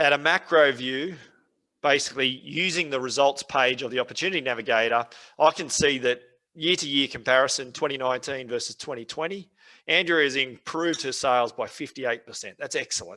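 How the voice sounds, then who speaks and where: At a fairly quick pace, a man with an Australian accent talks at a fairly high pitch in a bright, sharp tone with ordinary pitch variation. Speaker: software trainer. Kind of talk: webinar tutorial. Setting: online webinar. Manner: fast.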